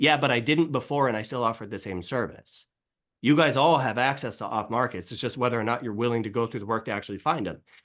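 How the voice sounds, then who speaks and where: Speaking at a very fast pace, a man uses a medium pitch and ordinary pitch variation against a quiet background. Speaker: realtor and team leader. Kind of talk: coaching session on video call. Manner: intense, passionate.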